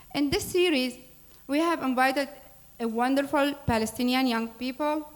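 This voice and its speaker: At a moderate pace, a woman with a high pitch speaks with ordinary pitch variation and very even loudness, and audible room echo surrounds her voice. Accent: Arabic. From Syria. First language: Arabic. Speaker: nonprofit board president. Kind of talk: public speech introducing a program. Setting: church hall with audience. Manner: formal.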